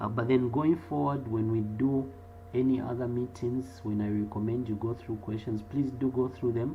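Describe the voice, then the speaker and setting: A man at a medium pitch speaks at a moderate pace with ordinary pitch variation. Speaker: accounting lecturer. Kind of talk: online class Q&A. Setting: live online video class.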